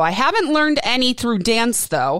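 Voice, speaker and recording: An unremarkable speaking voice: a woman with an American accent, fairly high pitch and a fairly quick pace. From Wisconsin. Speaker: podcast host. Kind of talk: casual chat.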